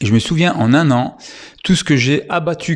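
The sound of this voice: At a moderate pace, a man talks in a medium pitch.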